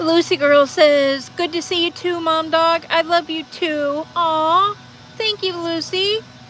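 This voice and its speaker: An extremely high-pitched woman's voice, very slow and fairly even in intonation, against noticeable background noise. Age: 50s. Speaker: livestreamer reading chat. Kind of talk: casual livestream chat.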